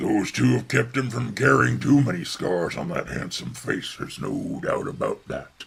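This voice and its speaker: In a put-on character voice, a man speaks at a moderate pace, raspy and fairly low-pitched, with very wide pitch swings. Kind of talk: sports color commentary. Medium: audio drama. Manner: boastful, folksy.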